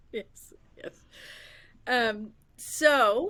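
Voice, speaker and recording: A woman's bright, sharp tone with a slight New York accent. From Massachusetts countryside, New York family. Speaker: podcast host. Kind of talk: casual interview chat. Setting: livestream video call. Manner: halting, many fillers.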